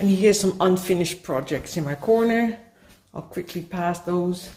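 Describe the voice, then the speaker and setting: With a Dutch accent, the speaker has a dark, mellow tone that is somewhat breathy, and the pitch varies in an ordinary way. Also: woman, medium pitch for a woman, moderate pace. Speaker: mixed media artist. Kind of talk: show-and-tell tour of artworks. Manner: halting.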